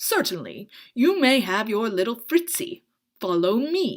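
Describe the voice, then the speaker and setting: A woman's put-on character voice, growling and fairly high-pitched, with very wide pitch swings at a fairly slow pace. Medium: read story. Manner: smooth, ominous.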